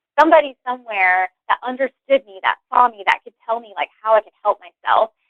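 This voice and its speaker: With an American accent, a woman speaks in a high pitch and lively intonation. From West Virginia. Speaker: career change guest. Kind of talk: interview, personal story. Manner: casual, many fillers like 'like'.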